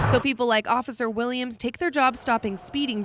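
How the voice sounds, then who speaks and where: With an American accent, the speaker's pitch varies in an ordinary way over noticeable background noise. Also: woman. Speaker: local TV news reporter. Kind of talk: TV news reporter package narration.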